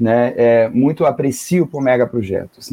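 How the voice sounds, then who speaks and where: A man is speaking. His tone is dark and mellow. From northern Germany. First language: German (speaking Portuguese). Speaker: geography professor. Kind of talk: radio interview. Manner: halting.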